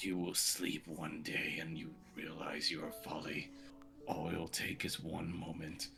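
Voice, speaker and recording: Over clear background music, a put-on character voice moves at a fairly slow pace. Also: man. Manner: menacing, ominous.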